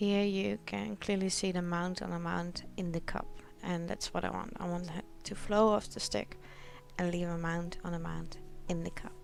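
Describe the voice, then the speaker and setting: Music plays in the background as a woman with a Dutch accent speaks amid audible room echo. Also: moderate pace. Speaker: acrylic pouring artist. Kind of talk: tutorial voice-over. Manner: awkward, not very enthusiastic.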